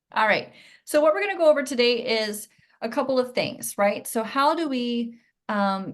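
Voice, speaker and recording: Against a quiet background, a woman talks in a normal speaking voice at a moderate pace with ordinary pitch variation. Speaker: pelvic floor and core specialist, Pilates teacher. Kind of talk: online masterclass lecture. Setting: live video class from home.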